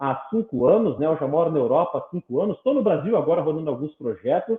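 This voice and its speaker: Animated in tone, a man talks at a fairly quick pace. His intonation is lively. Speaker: neuroscience and education specialist. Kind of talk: interview. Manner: fast.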